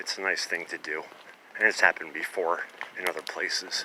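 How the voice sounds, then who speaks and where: Noticeable background noise behind a man speaking at a moderate speed. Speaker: vlogger, former pharmacist collecting cans. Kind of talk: casual vlog narration. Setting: outdoors at night, on a bike. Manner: hesitant, many fillers; whispering.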